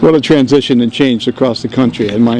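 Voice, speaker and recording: A man with an American accent speaks at a medium pitch, his intonation fairly even, with noticeable noise in the background. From New York, South Bronx. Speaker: navy veteran, speaker at a dedication. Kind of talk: dedication speech.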